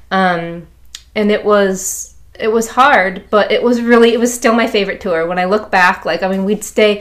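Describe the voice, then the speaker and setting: This is a woman with an American accent and a normal speaking voice. She keeps a moderate pace and fairly even intonation. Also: medium pitch for a woman. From US Midwest, Chicago. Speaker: musician, drummer. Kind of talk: casual interview.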